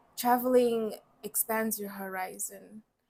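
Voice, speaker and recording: Her intonation stays monotone and flat. The woman talks fairly slowly. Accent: Namibian. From Namibia and Brazil, later UK. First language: Oshiwambo. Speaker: mining engineer and startup founder. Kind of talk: podcast interview.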